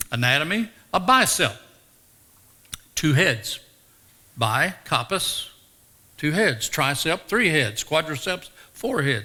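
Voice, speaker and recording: A fairly high-pitched man with a Tennessee accent, speaking at a fairly slow pace with very wide pitch swings. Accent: Southern US (Tennessee). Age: 70s. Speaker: retired teacher and former pro wrestler. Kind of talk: interview testimony. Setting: chapel with live audience.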